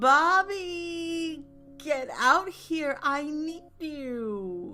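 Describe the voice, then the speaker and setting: In a put-on character voice, the speaker sounds whiny, nasal and shrill, with a high pitch and a very slow pace, while faint music plays in the background. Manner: calling out loudly.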